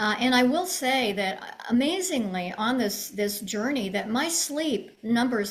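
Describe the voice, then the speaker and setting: A woman speaks fairly slowly in a fairly high pitch with lively intonation. Audible room echo and noticeable background noise surround her. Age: 80s+. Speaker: long-distance walker and advocate. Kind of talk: interview answers. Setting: live video stream.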